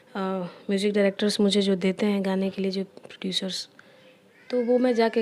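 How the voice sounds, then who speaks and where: A woman speaks with a Bihari accent. Her medium-pitched voice keeps a fairly even intonation. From Bihar, Gopalganj (Bhojpuri region). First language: Bhojpuri (speaking Hindi). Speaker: playback singer. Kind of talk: interview.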